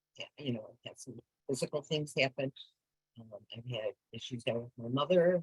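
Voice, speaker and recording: A woman's very deep, low, somewhat breathy voice at a fairly quick pace, with long, frequent pauses, ordinary pitch variation and big swings in loudness, in a dry, close sound with no echo. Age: 70s. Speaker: recovery fellowship speaker. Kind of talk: testimony.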